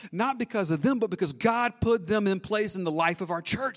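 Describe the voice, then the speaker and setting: A man with a high pitch and an American accent speaks at a fairly quick pace over background music. His intonation is lively and his tone animated. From US South. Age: 30s. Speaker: pastor. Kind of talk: sermon.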